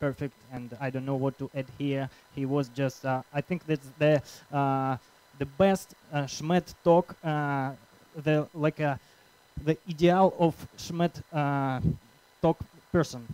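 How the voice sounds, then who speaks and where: A man with a Russian accent speaks very slowly in a fairly high voice with a dark, mellow tone. His intonation is fairly even, broken by long, frequent pauses, and the sound is dry and close with no echo. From Russia, Krasnoyarsk. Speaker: conference organizer and speaker. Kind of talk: conference talk. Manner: halting.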